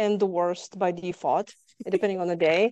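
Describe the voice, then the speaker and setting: A woman is speaking. She has a slight Lithuanian accent. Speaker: trauma survivor guest. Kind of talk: interview testimony.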